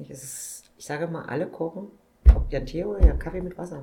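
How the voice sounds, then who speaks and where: A somewhat breathy voice with a dark, mellow tone. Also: woman. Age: 50s. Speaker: supermarket owner-manager. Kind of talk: interview.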